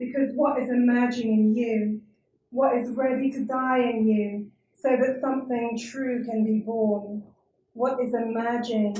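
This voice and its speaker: A woman talks at a fairly slow pace in a British accent. Her fairly high voice stays monotone and flat. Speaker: performance reader. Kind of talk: reading aloud at a live performance.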